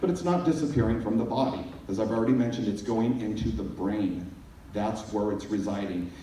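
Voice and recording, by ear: A man with a fairly low pitch and a dark, mellow tone talks at a fairly quick pace with ordinary pitch variation, his voice carrying strong room echo.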